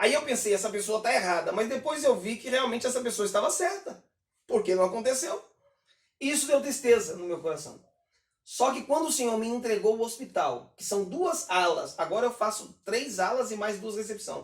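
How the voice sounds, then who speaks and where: With a high pitch, lively intonation and an animated tone, a man speaks at a moderate pace. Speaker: pastor and gospel singer. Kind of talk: casual chat.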